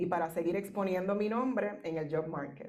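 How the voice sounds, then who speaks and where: Speaking fairly slowly in a Puerto Rican accent, a woman has a dark, mellow tone at medium pitch with ordinary pitch variation. Audible room echo surrounds her voice. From Puerto Rico. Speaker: professor. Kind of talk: keynote speech. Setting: conference.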